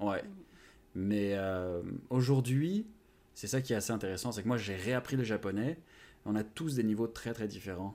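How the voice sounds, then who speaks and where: In a dark, mellow tone and at a fairly low pitch with ordinary pitch variation, a man speaks with long, frequent pauses on a very clean recording with a silent background. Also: moderate pace. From France. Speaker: language-learning YouTuber. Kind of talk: interview.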